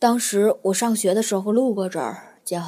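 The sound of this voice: Reading done in an unforced voice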